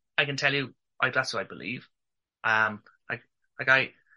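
A man's medium-pitched voice with an Irish accent and a bright, sharp tone. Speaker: male infertility advocate. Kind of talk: interview testimony.

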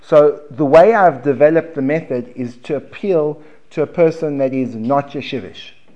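A man's fairly high voice with a dark, mellow tone, moderate pace and ordinary pitch variation. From South Africa. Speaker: Gemara teacher. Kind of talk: lecture. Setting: classroom with audience.

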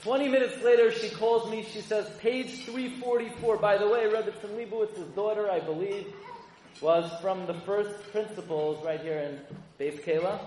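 Against noticeable background noise, a man with an American accent talks at a high pitch. His pace is fairly slow. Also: ordinary pitch variation. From US Northeast, Brooklyn. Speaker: rabbi. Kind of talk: speech to an audience. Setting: stage with audience.

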